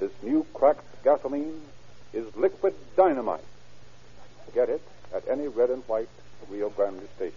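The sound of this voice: A man's dark, mellow voice at medium pitch, fairly slow, with big pitch swings and vocal fry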